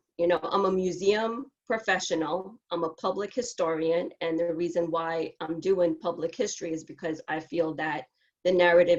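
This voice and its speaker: Speaking at a moderate pace, a woman has a fairly low pitch. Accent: American. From Brooklyn, New York. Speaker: panelist, public historian. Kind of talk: panel discussion testimony. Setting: video call. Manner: halting.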